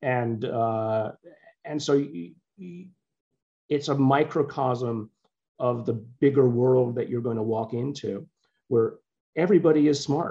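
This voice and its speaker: The voice has a dark, mellow tone. It moves at a fairly slow pace with long, frequent pauses. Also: man, medium pitch for a man, ordinary pitch variation. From born in Liverpool, England, moved to US as child. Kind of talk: interview.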